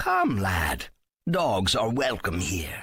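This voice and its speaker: A man's put-on character voice, fairly low in pitch. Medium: read story. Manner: warm, cryptic.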